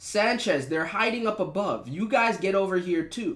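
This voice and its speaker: Using a put-on character voice, a man talks at a moderate pace with a high pitch and lively intonation. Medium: read story. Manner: threatening, commanding.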